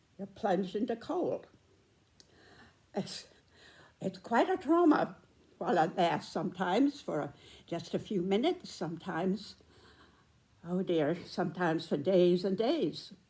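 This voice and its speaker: With an American accent, this voice moves at a fairly slow pace, somewhat breathy and dark, mellow in tone. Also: woman, medium pitch for a woman. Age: 90s. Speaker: storyteller. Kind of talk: personal storytelling. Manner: halting.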